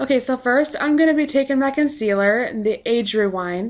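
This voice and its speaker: A woman's high voice with lively intonation at a fairly slow pace, in a very clean recording with a silent background. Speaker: makeup tutorial creator. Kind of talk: makeup tutorial voice-over.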